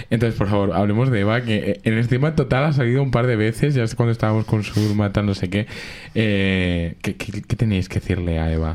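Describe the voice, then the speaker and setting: A man's animated, fairly quick delivery in a fairly low pitch, with ordinary pitch variation. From Madrid (Alcorcón). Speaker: radio show host. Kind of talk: casual chat.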